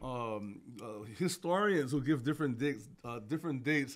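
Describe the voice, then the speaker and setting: A man with a Hawaiian accent, fairly high pitch, lively intonation, and a moderate pace, against a quiet background. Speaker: podcast co-host, works in education; podcast co-host. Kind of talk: casual chat with history explanations. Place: studio. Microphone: studio mic.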